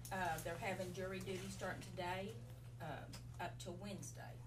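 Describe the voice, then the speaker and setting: A woman's moderately paced speech is heard with noticeable background noise. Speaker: county staff giving report. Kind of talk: meeting report. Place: meeting room. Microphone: camera far.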